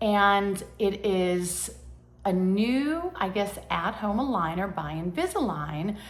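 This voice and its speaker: A woman's medium-pitched voice with lively intonation and audible room echo. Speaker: lifestyle vlogger. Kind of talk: casual vlog monologue. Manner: hesitant, many fillers.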